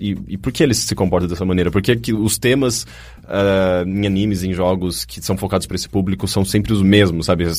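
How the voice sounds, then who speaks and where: A man with fairly low pitch and vocal fry, talking at a fairly quick pace. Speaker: podcast host. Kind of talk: casual chat.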